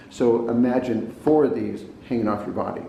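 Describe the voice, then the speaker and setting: Noticeable background noise and audible room echo surround a man with an American accent who talks at a fairly quick pace, medium pitch and ordinary pitch variation. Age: 70s. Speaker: health and diet talk presenter. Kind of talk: informal talk to camera. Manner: hesitant, repeats words and fillers.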